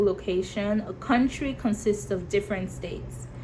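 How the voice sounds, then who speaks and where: Noticeable background noise surrounds a woman speaking. Her voice is medium in pitch with ordinary variation. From Nigeria. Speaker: YouTuber. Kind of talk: vlog talk to camera. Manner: animated.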